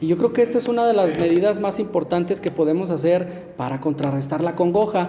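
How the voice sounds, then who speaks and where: A man with a high pitch talks at a fairly quick pace, hardly pausing. Background noise is noticeable. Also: ordinary pitch variation. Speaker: lay preacher. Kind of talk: sermon. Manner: stammering at times.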